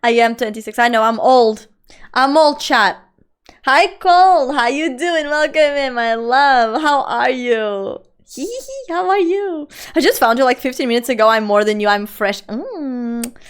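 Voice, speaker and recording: At a moderate pace, a woman with a Portuguese accent speaks at a high pitch with lively intonation, in a very clean recording with a silent background. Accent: non-native English, Portuguese. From central Portugal. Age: 20s. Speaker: streamer. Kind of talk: casual live-stream chat. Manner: animated.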